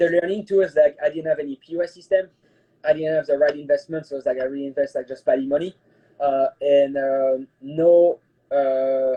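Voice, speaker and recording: Speaking at a moderate pace, a man with a French accent uses a fairly high pitch and fairly even intonation. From France. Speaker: private chef. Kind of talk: casual interview chat. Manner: halting, many fillers.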